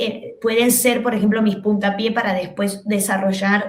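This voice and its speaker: The voice moves at a fairly slow pace with fairly even intonation, heard through audible room echo and noticeable background noise. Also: woman. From Argentina. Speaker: comedian and TV host. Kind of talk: podcast interview. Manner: halting with many fillers.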